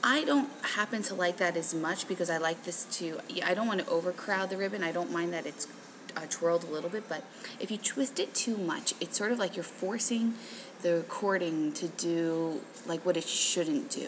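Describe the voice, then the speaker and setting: Soft-spoken, a woman talks at medium pitch and a moderate pace with lively intonation, while noticeable background noise sits behind her. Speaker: craft shop owner and tutorial host. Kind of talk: tutorial. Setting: hotel lobby. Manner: casual with many fillers.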